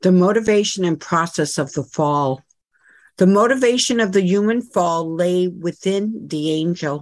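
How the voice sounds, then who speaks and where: A fairly slow pace with ordinary pitch variation in an ordinary speaking voice. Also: woman, medium pitch for a woman. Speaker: scripture reader. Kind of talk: reading aloud.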